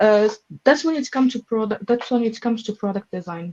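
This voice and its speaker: Music in the background behind a woman's fairly high pitch, ordinary pitch variation and a dry, close sound with no echo. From Morocco. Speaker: growth product manager. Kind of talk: interview answer.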